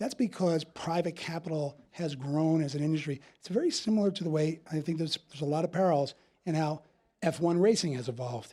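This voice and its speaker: A man's very fast, fairly high-pitched voice with a dark, mellow tone and a New Jersey accent. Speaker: investment firm CEO. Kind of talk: panel interview.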